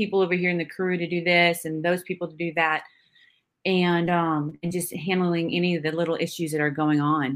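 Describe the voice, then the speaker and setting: In an ordinary speaking voice with an American accent, a woman talks at a moderate pace with fairly low pitch and fairly even intonation, on a very clean recording with a silent background. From Northern California (Santa Rosa). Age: 40s. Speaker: Army veteran and film producer. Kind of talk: casual interview.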